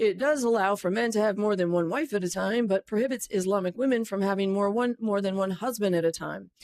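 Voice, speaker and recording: Her pitch is fairly high, with ordinary variation. The woman speaks at a fairly quick pace. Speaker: satirical news anchor. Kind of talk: mock TV news read. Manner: fast-paced.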